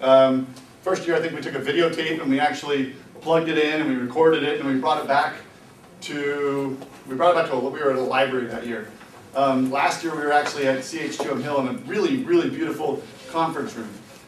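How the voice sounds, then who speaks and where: Over noticeable background noise and audible room echo, a man talks at a very fast pace. His pitch is fairly high, with ordinary variation. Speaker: robotics team mentor giving a workshop. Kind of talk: workshop presentation.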